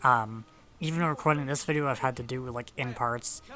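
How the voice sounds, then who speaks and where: Noticeable background noise sits behind a man's voice. He talks at a fairly quick pace with medium pitch. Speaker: gaming commentator. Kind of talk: gameplay commentary. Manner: halting.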